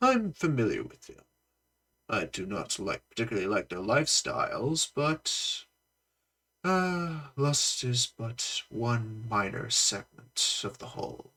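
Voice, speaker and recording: A man performs a put-on character voice. He pitches it fairly high and keeps a fairly slow pace. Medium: solo performance. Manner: smug, indulgent.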